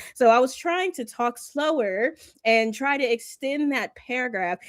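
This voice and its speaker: A woman with an ordinary speaking voice speaks at a fairly high pitch with lively intonation on a very clean recording with a silent background. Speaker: comics content creator. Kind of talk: panel discussion.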